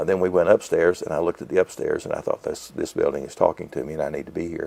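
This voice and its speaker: Over noticeable background noise, a man talks at a very fast pace, recorded dry and close with no echo. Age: 70s. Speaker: bookstore owner. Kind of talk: interview.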